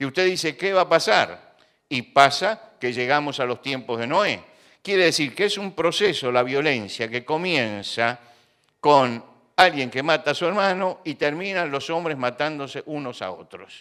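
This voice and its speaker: Speaking at a fairly slow pace, a man has a fairly high pitch and a bright, sharp tone. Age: 70s. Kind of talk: religious talk.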